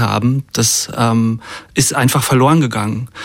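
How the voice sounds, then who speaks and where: The man speaks slowly-ish, at a fairly slow pace, in a monotone, flat intonation. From East Germany, Brandenburg near Berlin. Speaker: musician and record producer. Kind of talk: radio interview. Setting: studio. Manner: halting, many fillers.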